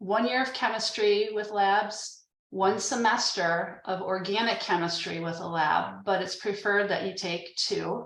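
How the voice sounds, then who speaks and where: A woman with a normal speaking voice at a medium pitch, ordinary pitch variation, a fairly slow pace and hardly any pauses. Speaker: admissions staff presenter. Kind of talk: informational webinar presentation.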